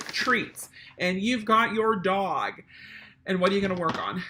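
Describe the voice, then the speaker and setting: A woman speaks in an animated tone. Background noise is noticeable. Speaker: service dog trainer. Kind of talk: tutorial.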